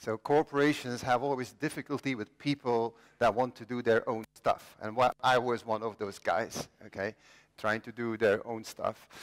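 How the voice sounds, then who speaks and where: In a Flemish accent, a man speaks at a moderate pace and medium pitch with fairly even intonation, the sound dry and close with no echo on a very clean recording with a silent background. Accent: Belgian (Flemish) English. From Belgium. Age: 50s. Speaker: inventor. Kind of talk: conference talk. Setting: stage with audience.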